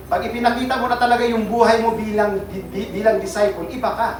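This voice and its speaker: Recorded with noticeable background noise and audible room echo, a man is speaking. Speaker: pastor. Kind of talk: sermon. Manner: sounds like always angry; animated.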